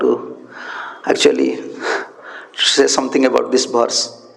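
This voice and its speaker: A man is speaking. Audible room echo and noticeable background noise can be heard. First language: Odia. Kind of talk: religious scripture lecture. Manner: halting, repeats words.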